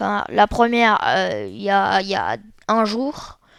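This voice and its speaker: A woman talks at a very slow pace. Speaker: gaming youtuber. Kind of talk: casual chat to viewers; gameplay commentary. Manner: animated; halting.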